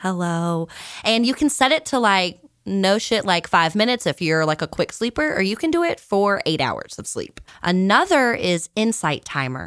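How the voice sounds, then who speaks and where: A woman with an American accent talks at a moderate pace, her voice making very wide pitch swings. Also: medium pitch for a woman. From Virginia, US South. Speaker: podcast co-host, musician. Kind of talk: casual chat.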